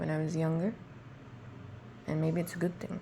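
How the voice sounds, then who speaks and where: A woman speaks softly in a very deep, low voice. Vocal fry runs through her speech. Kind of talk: personal voice diary, thinking out loud. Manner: casual, unscripted; soft, reflective.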